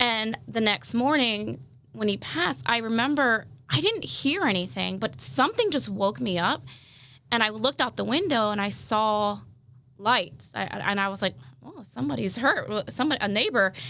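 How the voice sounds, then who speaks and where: A woman with a bright, sharp tone and vocal fry speaks at a fairly high pitch with very wide pitch swings. Her pace is moderate, and the recording is very clean with a silent background. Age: 30s. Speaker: sister of the host, grieving family member. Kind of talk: testimony.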